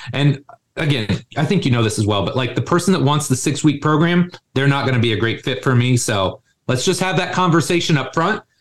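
Somewhat breathy, a man with an American accent talks at a fairly quick pace in a fairly high pitch. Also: lively intonation. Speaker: strength coach, gym co-founder. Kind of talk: podcast interview. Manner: casual, animated.

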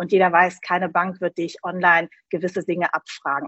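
In a plain, everyday voice, a woman speaks at a fairly quick pace with a fairly low pitch. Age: 40s. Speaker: insurance broker. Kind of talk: interview.

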